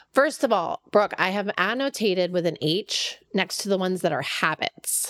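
With an ordinary speaking voice, a woman at medium pitch uses lively intonation and a moderate pace with hardly any pauses, in a dry, close sound with no echo. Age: 40s. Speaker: podcast co-host, professional organizer. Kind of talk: casual chat.

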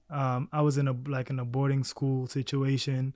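Fairly high-pitched for a man, this man's voice has a dark, mellow tone. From South Sudan. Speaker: model and agency owner. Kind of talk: casual interview chat. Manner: casual, conversational.

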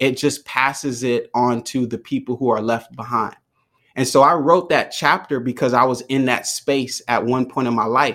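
On a very clean recording with a silent background, a man talks in a plain, everyday voice. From US, Jamaican American family. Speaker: mental health speaker and founder. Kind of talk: interview.

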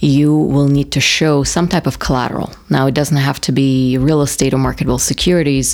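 This woman has a very deep, low pitch and a Russian accent. She speaks at a fairly quick pace, her loudness very even and her intonation monotone and flat. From Russia, Moscow. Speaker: banker. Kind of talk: interview.

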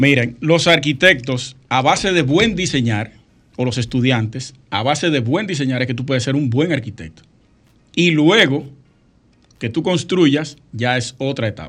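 At a fairly slow pace, a man with a plain, everyday voice speaks at a medium pitch with lively intonation. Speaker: architect and radio co-host. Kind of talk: casual radio talk show.

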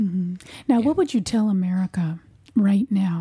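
A woman's somewhat breathy voice, dark and mellow in tone, at medium pitch with ordinary pitch variation. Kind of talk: interview.

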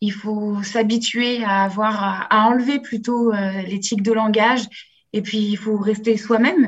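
Her fairly high pitch comes out somewhat breathy and in a monotone, flat intonation. The woman talks at a fairly slow pace. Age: 20s. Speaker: business master's student, apprentice. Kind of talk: remote interview. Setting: remote call.

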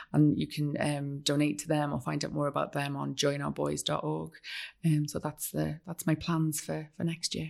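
Recorded very cleanly against a silent background, a woman with a Welsh accent speaks at a moderate pace. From North Wales. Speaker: writer. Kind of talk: casual interview chat. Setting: studio.

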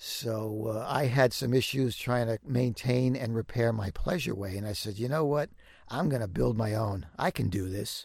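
The voice is somewhat breathy, with an American accent. It keeps a moderate pace and ordinary pitch variation. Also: man, medium pitch for a man. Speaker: van builder and YouTube creator. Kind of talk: interview. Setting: home sound booth in a walk-in closet.

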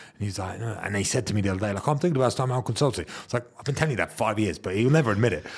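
At a very fast pace, a man with a medium pitch talks in a somewhat breathy voice with lively intonation. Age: 30s. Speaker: podcast host. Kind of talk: casual chat.

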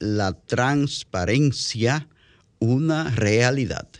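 A man's medium-pitched voice at a very slow pace. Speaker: radio host and journalist. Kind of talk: radio talk show.

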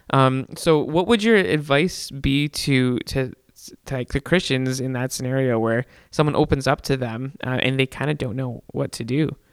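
Here is an unremarkable speaking voice from a man at medium pitch, with ordinary pitch variation and a moderate pace. The sound is dry and close, with no echo. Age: 20s. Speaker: podcast co-host. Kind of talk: casual chat. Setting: studio.

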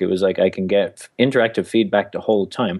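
A man with an Irish accent speaks at a very fast pace. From Ireland. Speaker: author and stand-up comic. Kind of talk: casual interview.

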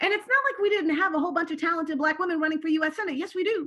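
A woman speaks at an extremely high pitch with ordinary variation in her intonation. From raised abroad as a diplomat's child, later California. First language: Turkish. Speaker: political candidate and navy veteran. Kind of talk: interview conversation.

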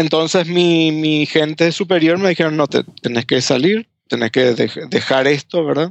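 A man, speaking at a fairly slow pace, shows ordinary pitch variation. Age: 40s. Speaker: former pastor. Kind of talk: interview testimony. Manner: halting, many repetitions.

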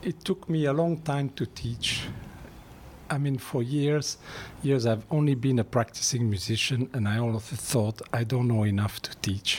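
With a non-native accent, a man speaks in a somewhat breathy, medium-pitched voice at a fairly slow pace with ordinary pitch variation. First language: not English. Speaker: music teacher. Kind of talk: casual interview.

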